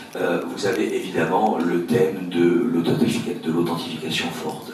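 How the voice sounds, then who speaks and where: A man speaks in a very deep, low pitch at a fairly slow pace. Noticeable background noise and audible room echo fill the recording. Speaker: lawyer. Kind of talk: keynote talk. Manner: hesitant, many filler sounds; formal.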